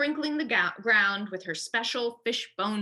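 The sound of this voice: This is an unforced reading voice. It is heard on its own here.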